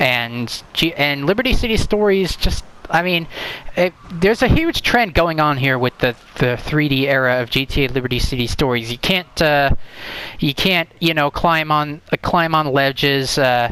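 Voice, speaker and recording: A man talks at a moderate pace, his fairly high pitch showing ordinary variation. Noticeable background noise can be heard. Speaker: gaming youtuber. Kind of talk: casual video commentary ranking games. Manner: halting, many fillers and restarts.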